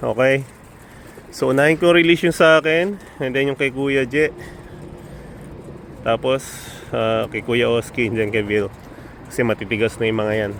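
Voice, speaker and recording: A man speaks with long, frequent pauses. Noticeable background noise runs beneath him. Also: medium pitch for a man, ordinary pitch variation, moderate pace. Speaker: pigeon racing vlogger. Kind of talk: casual vlog narration. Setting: outdoors, early morning.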